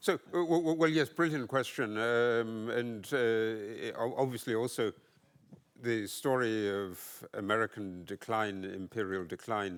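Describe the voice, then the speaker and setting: In a British accent, a man speaks at a medium pitch with ordinary pitch variation. His pace is fairly slow, and the recording is very clean with a silent background. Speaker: economic historian panelist. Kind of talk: conference panel discussion. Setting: conference panel. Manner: halting, many fillers and repetitions.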